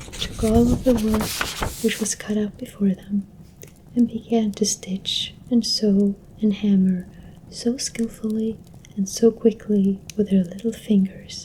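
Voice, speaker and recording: A soft-spoken voice at a fairly slow pace. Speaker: ASMR content creator. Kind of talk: ASMR soft-spoken story reading. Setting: close-mic home recording with a desktop microphone. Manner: soft-spoken, quiet.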